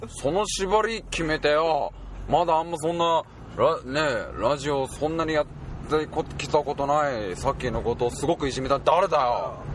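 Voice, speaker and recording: Amid noticeable background noise, a man talks at a moderate pace with a fairly high pitch and ordinary pitch variation. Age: 20s. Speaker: podcast guest. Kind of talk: casual chat.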